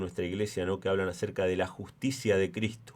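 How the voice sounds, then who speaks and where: A man at a fairly quick pace. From Argentina. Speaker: preacher. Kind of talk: sermon. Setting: church.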